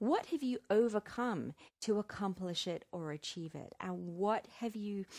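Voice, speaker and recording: In a very clean recording with a silent background and a dry, close sound with no echo, a woman talks at a moderate pace in an unremarkable speaking voice, medium in pitch with lively intonation. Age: 40s. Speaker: podcast host and business strategist. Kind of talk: solo podcast monologue. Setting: outdoors on a deck.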